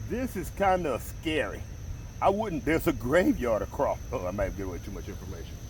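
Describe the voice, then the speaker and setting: This is a man speaking at a fairly quick pace. His loudness shows big swings. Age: 60s. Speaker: fishing vlogger. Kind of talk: casual vlog narration. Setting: outdoors.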